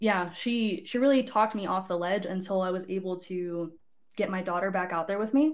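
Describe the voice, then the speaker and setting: An unremarkable speaking voice belongs to a woman with an American accent and medium pitch. She talks at a fairly quick pace with ordinary pitch variation. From Southern California (Barstow). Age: 20s. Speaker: army drill instructor. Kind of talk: casual chat. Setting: live stream studio.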